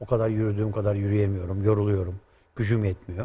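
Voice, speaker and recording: Speaking at a fairly low pitch, a man has a somewhat breathy voice with a dark, mellow tone. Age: 60s. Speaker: automotive expert; guest. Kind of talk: explanatory interview. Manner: hesitant with frequent fillers. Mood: calm, explanatory. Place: studio. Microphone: lapel.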